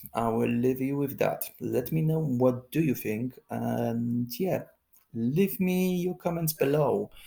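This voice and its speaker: Very slow speech in a non-native accent, very cleanly recorded against a silent background. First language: not English. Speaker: political commentary vlogger. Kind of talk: political commentary monologue. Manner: halting, many fillers.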